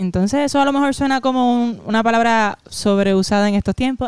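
A woman's fairly high voice with ordinary pitch variation at a fairly quick pace, dry with no echo, over a quiet background. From Puerto Rico. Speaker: comedian. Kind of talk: casual chat. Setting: at her home. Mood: emotional storytelling. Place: home room. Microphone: handheld.

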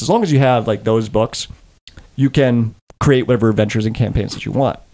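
Here a man talks with fairly even intonation. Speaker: dungeon master host. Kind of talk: podcast explanation. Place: home room. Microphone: studio mic.

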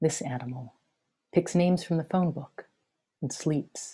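A woman speaks with a dark, mellow tone and a somewhat breathy quality. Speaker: poet. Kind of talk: poetry reading. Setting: video call. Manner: measured, lyrical, incantatory. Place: home room. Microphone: webcam.

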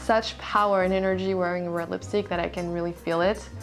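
A woman at a moderate pace, faint music in the background. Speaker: beauty vlogger. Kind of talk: casual vlog chat. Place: home room. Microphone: camera far.

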